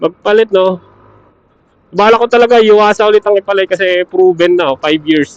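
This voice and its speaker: This man's voice sits high in pitch and sounds dry and close, with no echo. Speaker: motorcycle vlogger. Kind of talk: casual vlog. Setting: battery shop.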